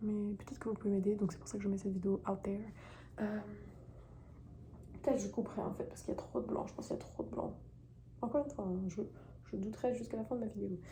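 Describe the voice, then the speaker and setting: Amid noticeable background noise, a woman talks at a very fast pace broken by long, frequent pauses. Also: medium pitch for a woman, ordinary pitch variation. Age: 20s. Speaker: YouTuber. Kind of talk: personal vlog confession. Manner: hesitant, many fillers.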